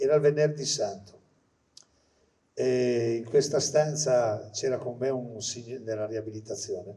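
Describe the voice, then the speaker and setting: A man's somewhat breathy voice with a dark, mellow tone, at a moderate pace. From Liguria, Italy. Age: old. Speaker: retired pediatrician. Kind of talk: testimony.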